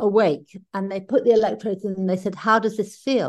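Against a quiet background, a woman with a British accent talks at a fairly quick pace. Her voice sits at a medium pitch with a dark, mellow tone. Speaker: podcast co-host living with Parkinson's. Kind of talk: casual chat. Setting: video call.

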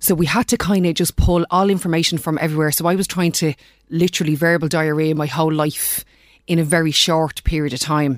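A woman with a Dublin accent speaks at a fairly quick pace with a very deep, low pitch. Her intonation is fairly even, on a very clean recording with a silent background. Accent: Dublin Irish. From Ireland, Dublin. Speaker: life coach. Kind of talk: interview.

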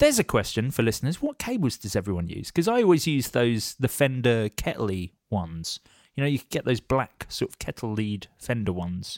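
A man with a British accent talks at a fairly quick pace with hardly any pauses and lively intonation, in a dry, close sound with no echo and a very clean recording on a silent background. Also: medium pitch for a man. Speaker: podcast host. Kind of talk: casual chat.

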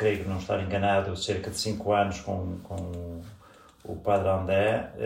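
In a room with audible echo, a man speaks very slowly, his voice somewhat breathy and dark and mellow in tone. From northern Portugal. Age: 50s. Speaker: parishioner. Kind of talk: interview. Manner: halting.

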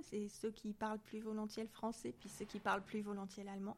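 A woman at a fairly quick pace. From southern France, near Marseille. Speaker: scientist and association president. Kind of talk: interview.

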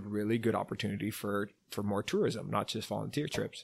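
A man talks at a fairly quick pace. He has a Californian accent. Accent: California English. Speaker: travel company founder. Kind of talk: casual interview chat.

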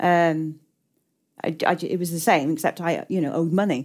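A woman's fairly low voice with an English accent and ordinary pitch variation. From England, working-class town. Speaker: novelist. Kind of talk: onstage literary conversation. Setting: stage with audience.

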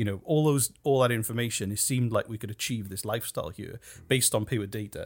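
This man speaks very fast in a British accent, at a medium pitch. The recording is very clean and the background silent. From United Kingdom. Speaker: podcast producer and company co-founder. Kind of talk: casual interview.

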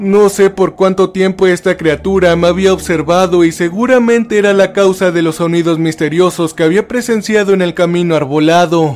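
Over noticeable background noise, a man with a high pitch speaks with hardly any pauses, very even loudness and fairly even intonation. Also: moderate pace. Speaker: creepypasta narrator. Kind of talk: first-person horror story narration, creepypasta, tense and hushed, building dread. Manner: tense and frightened delivery, voice rising then trembling in panic scenes.

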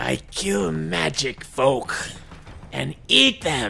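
Over clear background noise, a man growls in a put-on character voice with a very deep, low pitch. He speaks very slowly, his pitch swinging very widely. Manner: broken caveman speech, menacing.

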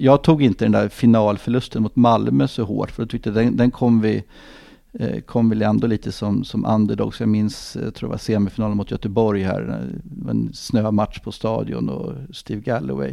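A dark, mellow tone carries the speech along at a moderate pace. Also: man, fairly low pitch for a man, quiet background. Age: 50s. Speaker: football club executive. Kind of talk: podcast interview. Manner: halting, many fillers and repetitions.

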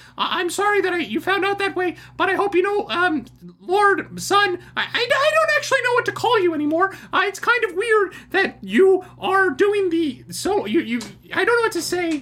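Delivered at a moderate pace, this put-on character voice sits at an extremely high pitch.

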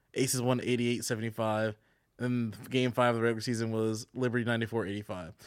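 This man talks very fast at a medium pitch, his intonation fairly even, on a very clean recording with a silent background. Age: 30s. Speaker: podcast guest. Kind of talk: casual chat.

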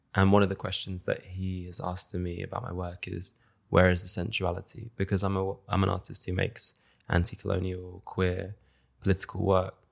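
In a London accent, a man with a very deep, low pitch speaks in a flat monotone at a fairly quick pace, on a very clean recording with a silent background. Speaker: multidisciplinary artist. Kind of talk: casual chat.

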